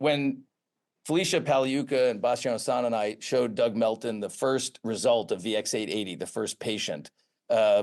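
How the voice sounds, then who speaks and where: An ordinary speaking voice from a man in an American accent, medium in pitch, at a moderate pace with ordinary pitch variation. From US Northeast, Boston area. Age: 60s. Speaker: pharmaceutical research executive, former professor. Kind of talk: interview.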